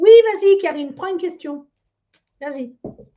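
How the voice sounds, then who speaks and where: A woman speaks with lively intonation. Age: 60s. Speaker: psychic medium. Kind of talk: live stream psychic reading. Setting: live stream. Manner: casual, hesitant with many fillers.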